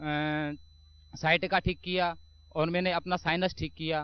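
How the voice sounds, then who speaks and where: Monotone and flat, a man's high-pitched voice keeps to one level. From Mathura, western Uttar Pradesh, India. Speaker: army soldier giving testimony. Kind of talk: testimony.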